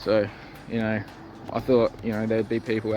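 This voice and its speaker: A man with an Australian accent and a medium pitch talks at a moderate pace. There is noticeable background noise. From South Australia. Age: 30s. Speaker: skating vlogger. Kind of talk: casual vlog monologue. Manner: halting, many fillers.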